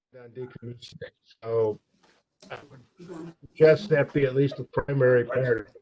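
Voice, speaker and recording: A fairly high-pitched man speaks at a moderate pace with ordinary pitch variation, big swings in loudness and a somewhat breathy, dark, mellow tone, in a dry, close sound with no echo. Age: 70s. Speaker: board chair. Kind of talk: board meeting discussion.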